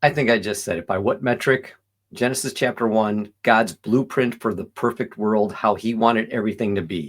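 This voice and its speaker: A man speaks in a normal speaking voice at a medium pitch with ordinary pitch variation. His pace is moderate, and the recording is very clean with a silent background. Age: 60s. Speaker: vegan commentary video host. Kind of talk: reaction commentary. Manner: casual, self-interrupting.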